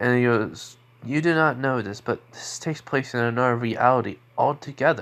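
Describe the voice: Plain reading aloud fills the recording.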